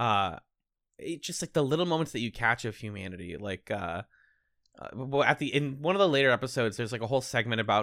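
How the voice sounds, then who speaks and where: Very fast and bright, sharp in tone, a man with an American accent and medium pitch uses lively intonation in a dry, close sound with no echo on a very clean recording with a silent background. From Boston, US. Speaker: podcast host. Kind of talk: casual chat.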